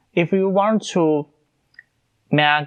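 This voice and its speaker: A man talks with a Chinese accent. He speaks at a very slow pace. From China. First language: Mandarin Chinese. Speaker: podcast host. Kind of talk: casual podcast monologue. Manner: halting, many fillers.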